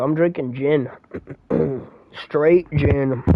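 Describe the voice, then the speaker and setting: A man talks in an animated tone at a fairly high pitch, with ordinary pitch variation. Music plays in the background. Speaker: video game streamer. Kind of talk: live gameplay stream chat. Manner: casual, animated.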